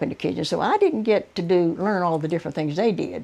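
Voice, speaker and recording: This woman talks at a fairly quick pace and medium pitch, with a Southern US accent and a dark, mellow tone. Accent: Southern American. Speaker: oral history narrator. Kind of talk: interview answer.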